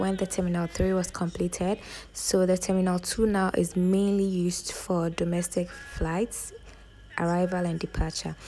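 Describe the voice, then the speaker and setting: Light background noise sits under speech at a moderate pace with fairly even intonation. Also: woman. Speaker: travel vlogger. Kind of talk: casual vlog chat. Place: station. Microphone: phone near.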